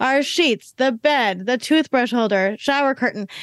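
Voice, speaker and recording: A high-pitched woman's voice, dry and close with no echo. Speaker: entrepreneur. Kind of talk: casual interview.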